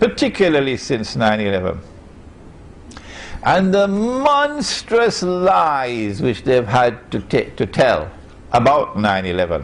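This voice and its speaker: Very slow speech with very wide pitch swings and audible room echo. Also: man. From Trinidad and Tobago. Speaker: Islamic scholar. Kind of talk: lecture.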